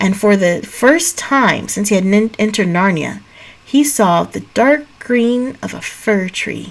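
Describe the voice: This clip is plain reading aloud.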